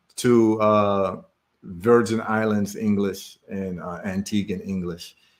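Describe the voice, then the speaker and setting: A man with a Ghanaian accent speaks at a very slow pace in a fairly low pitch, his intonation monotone and flat. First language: Twi. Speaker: livestream host and businessman. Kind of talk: casual live stream talk. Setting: live stream.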